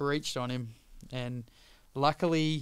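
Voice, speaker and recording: A man with an Australian accent speaks in a fairly high pitch at a fairly slow pace. His intonation is fairly even, and the recording is very clean with a silent background. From Australia, Sydney. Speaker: pro foiler. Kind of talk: casual chat. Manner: halting.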